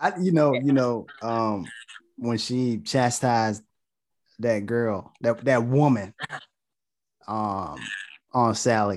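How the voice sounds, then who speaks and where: On a very clean recording with a silent background, a man speaks very slowly at a medium pitch with ordinary variation and long, frequent pauses. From North Carolina. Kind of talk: casual chat.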